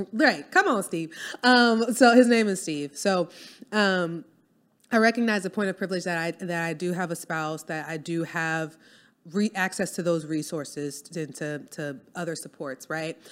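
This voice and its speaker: A woman's fairly low voice with a New Orleans accent and big swings in loudness, on a very clean recording with a silent background. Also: ordinary pitch variation, moderate pace. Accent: New Orleans Southern US. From US South, New Orleans. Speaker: copywriter and business owner. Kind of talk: casual interview chat.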